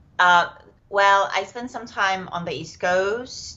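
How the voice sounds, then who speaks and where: In a room with audible echo, a woman speaks at a fairly slow pace with a Czech accent. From Czech Republic. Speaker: yoga teacher. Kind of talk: podcast interview. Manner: hesitant, many fillers.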